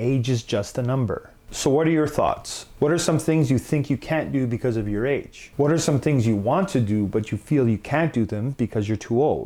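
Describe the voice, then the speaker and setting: The recording is very clean, with a silent background. A man with a dark, mellow tone speaks at a medium pitch with hardly any pauses. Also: ordinary pitch variation, moderate pace, very even loudness. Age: 30s. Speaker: YouTube vlogger. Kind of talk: monologue.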